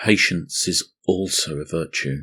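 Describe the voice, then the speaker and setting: A man puts on a robotic character voice, very deep and low in pitch, and speaks at a fairly slow pace. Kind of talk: archaic biblical speech. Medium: read story. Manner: formal, solemn, detached.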